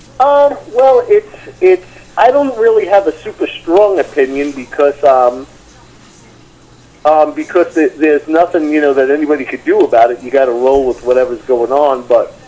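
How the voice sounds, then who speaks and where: Over noticeable background noise, a man with a New York accent talks at a moderate pace. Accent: heavy New York. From US Northeast, Long Island, New York. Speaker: metal guitarist. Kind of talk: interview. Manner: halting, many fillers.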